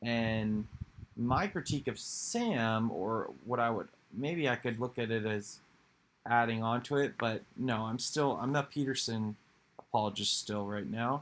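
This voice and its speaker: Fairly slow speech from a man, pitched in the middle range. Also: ordinary pitch variation. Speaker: video creator discussing philosophy. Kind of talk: casual monologue with guided meditation. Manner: halting, many fillers and restarts.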